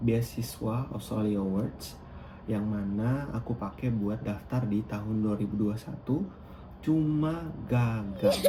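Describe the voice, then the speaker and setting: A man at a very slow pace, with ordinary pitch variation and audible room echo. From Sumba, East Nusa Tenggara, Indonesia. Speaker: scholarship student vlogger. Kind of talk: casual tutorial vlog. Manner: casual, with frequent fillers.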